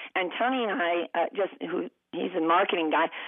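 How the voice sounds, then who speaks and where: A woman speaks at a moderate pace. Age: 70s. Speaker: novelist and former radio broadcaster. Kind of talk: interview.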